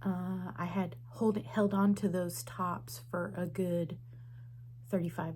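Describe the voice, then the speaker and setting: A woman's very deep, low voice carries vocal fry and audible room echo. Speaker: quilting vlogger. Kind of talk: casual vlog monologue. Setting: at home. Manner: soft-spoken.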